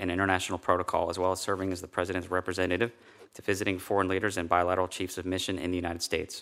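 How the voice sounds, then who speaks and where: Talking at a very fast pace, a man with an American accent has a very deep, low pitch, a bright, sharp tone, and monotone, flat intonation. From Chicago, Southwest side. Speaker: navy veteran, protocol official. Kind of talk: confirmation hearing testimony. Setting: committee hearing room. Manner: formal.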